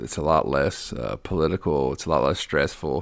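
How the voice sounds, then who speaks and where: Vocal fry runs through the voice. The recording is very clean, with a silent background. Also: man. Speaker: drag racer. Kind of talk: casual chat. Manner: halting.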